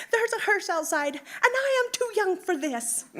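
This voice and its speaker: In a put-on character voice, a woman speaks at a moderate pace with a squeaky, extremely high pitch and a raised, projected voice. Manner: excited, flustered.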